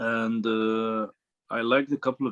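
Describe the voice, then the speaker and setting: A man speaks with an Arabic accent at medium pitch. His intonation is monotone and flat. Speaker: dropshipping student. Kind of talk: interview. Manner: halting, many fillers and repeats.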